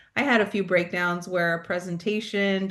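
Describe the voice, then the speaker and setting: Speaking with an American accent, a woman keeps a moderate pace. Her pitch is medium, with ordinary variation. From California, South Bay (Los Angeles area). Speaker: pastoral and mental health coach. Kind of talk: interview conversation. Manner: loud.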